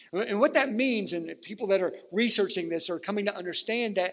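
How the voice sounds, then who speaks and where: A man speaks in a high, animated voice with ordinary pitch variation. His pace is moderate. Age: 40s. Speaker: pastor. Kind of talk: sermon.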